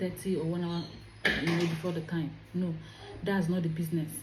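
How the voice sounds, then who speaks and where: A woman is speaking amid noticeable background noise. Audible room echo surrounds her voice. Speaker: career vlogger. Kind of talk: advice vlog. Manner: animated.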